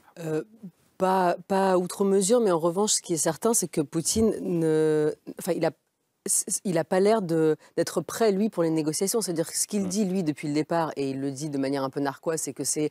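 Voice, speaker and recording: A woman's very deep, low voice with a dark, mellow tone and lively intonation, at a fairly quick pace, dry with no echo and a quiet background. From Russian-born, grew up between France and Russia. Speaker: newspaper foreign editor; journalist guest. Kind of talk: televised debate. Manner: halting, many repetitions. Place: studio. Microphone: lapel.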